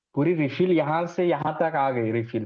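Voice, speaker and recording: This man's voice sits fairly high. His pitch varies in an ordinary way. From Maharashtra, India. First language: Marathi (speaking Hindi). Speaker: numerology student. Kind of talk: student presentation feedback chat.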